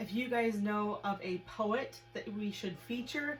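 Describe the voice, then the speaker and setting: A woman talks with an American accent at a fairly high pitch. Her pitch varies in an ordinary way over noticeable background noise. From US Midwest. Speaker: web show co-host. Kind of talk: casual chat.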